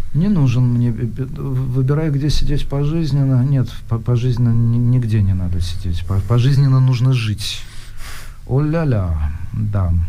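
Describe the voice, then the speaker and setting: A man speaks at a very slow pace with lively intonation and very even loudness, his voice carrying audible room echo over noticeable background noise. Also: medium pitch for a man. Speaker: radio host. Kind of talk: casual chat. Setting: studio.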